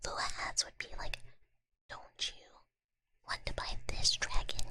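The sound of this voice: Whispering, a woman keeps to a fairly slow pace.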